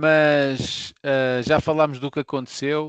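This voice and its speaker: At a fairly slow pace, a normal speaking voice with fairly even intonation comes through dry and close, with no echo. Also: man. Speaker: football podcast co-host. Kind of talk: casual chat.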